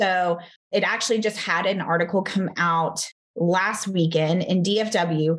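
In a Texan accent, a woman talks at a fairly slow pace with very even loudness. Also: medium pitch for a woman, fairly even intonation. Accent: Texan (US Southern). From Texas. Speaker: fitness studio franchise founder. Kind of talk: interview.

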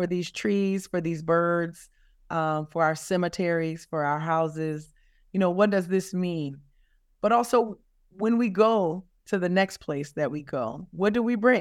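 Over a quiet background, a woman with a Louisiana accent speaks at a fairly low pitch. Her pace is fairly slow and her pitch variation ordinary. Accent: Southern US (Louisiana). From South Louisiana, US. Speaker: climate justice advocate. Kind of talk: interview. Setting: remote interview from California.

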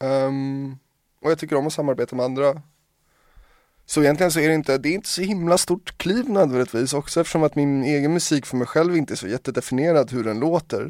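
On a very clean recording with a silent background and a dry, close sound with no echo, a man speaks at a very fast pace in a fairly high pitch with ordinary pitch variation. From Sweden, Hungarian parents. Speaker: DJ and producer. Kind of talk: casual chat.

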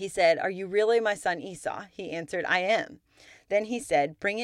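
In a very clean recording with a silent background, a woman with a normal speaking voice talks at a moderate pace with lively intonation. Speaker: podcast host and Bible teacher. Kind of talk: scripture reading, steady and measured, in between teaching talk; devotional Bible teaching. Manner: formal, even-paced reading aloud, clear and reverent; earnest and warm.

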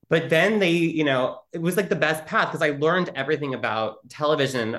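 With a plain, everyday voice, a man speaks at a fairly quick pace and a fairly high pitch. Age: 40s. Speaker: LGBTQ advocacy communications executive. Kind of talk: interview.

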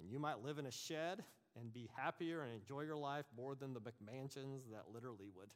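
Using a normal speaking voice, a man talks at a fairly quick pace at a medium pitch with ordinary pitch variation. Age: 50s. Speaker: bible teacher. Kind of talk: lecture.

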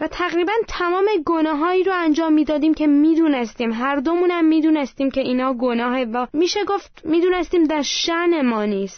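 An extremely high-pitched woman in an Armenian accent, fairly quick with hardly any pauses and lively intonation, over noticeable background noise. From Iran, Armenian family. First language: Armenian (speaking Persian). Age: 20s. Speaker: churchgoer giving testimony. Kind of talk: testimony.

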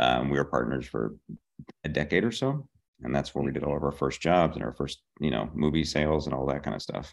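A man with an American accent speaks at a fairly quick pace in a very deep, low pitch. His voice has vocal fry and ordinary pitch variation. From Pittsburgh, Pennsylvania. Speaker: TV comedy writer. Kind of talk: casual interview.

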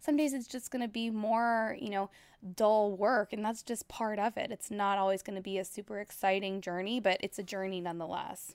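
This is a woman with an American accent and a plain, everyday voice, talking at a fairly quick pace with medium pitch and ordinary pitch variation. The sound is dry and close with no echo, on a very clean recording with a silent background. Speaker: finance author. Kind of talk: interview.

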